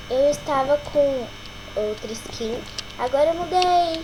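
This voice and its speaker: High-pitched and lively in intonation, a woman speaks at a very slow pace. Noticeable background noise runs underneath. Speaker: gaming youtuber. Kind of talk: gameplay commentary. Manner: quiet; hesitant.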